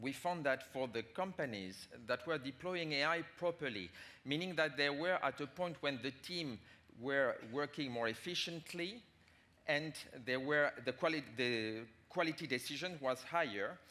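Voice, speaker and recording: Moderate pace in a French accent, with a bright, sharp tone and ordinary pitch variation. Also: man, fairly high pitch for a man. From France. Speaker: management consultant. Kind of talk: conference talk. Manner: halting.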